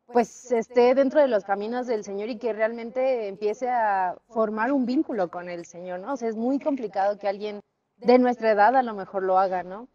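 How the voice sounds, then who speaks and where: This woman has a fairly high pitch and a dark, mellow tone, with ordinary pitch variation. She talks at a moderate pace with hardly any pauses and big swings in loudness. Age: 20s. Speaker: church member giving testimony. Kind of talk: testimony.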